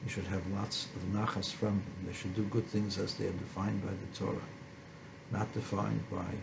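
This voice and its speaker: A man with a fairly low pitch speaks in a monotone, flat way. Audible room echo and noticeable background noise fill the recording. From born in a refugee camp in postwar Germany. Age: 70s. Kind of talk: personal testimony.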